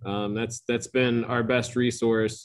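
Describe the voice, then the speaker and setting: An unremarkable speaking voice moves along at a fairly slow pace. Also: man. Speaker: head brewer and owner. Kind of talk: casual interview.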